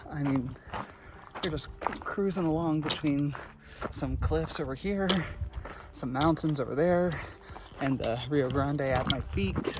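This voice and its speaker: A man's fairly high voice, with ordinary pitch variation, comes at a moderate pace against noticeable background noise. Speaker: hiking vlogger. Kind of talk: outdoor vlog narration. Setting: outdoors on a trail. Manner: quiet, softer than usual.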